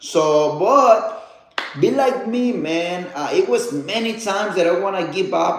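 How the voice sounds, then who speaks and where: With a Spanish accent and a high pitch, a man speaks amid noticeable background noise and audible room echo. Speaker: motivational speaker. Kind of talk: livestream motivational talk. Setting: live stream. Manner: halting, many fillers.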